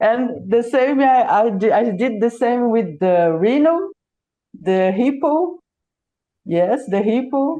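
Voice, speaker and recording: A woman with a Brazilian Portuguese accent speaks very slowly in a high, dark, mellow voice, her pitch swinging very widely while her loudness stays very even. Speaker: origami artist. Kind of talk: interview. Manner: halting.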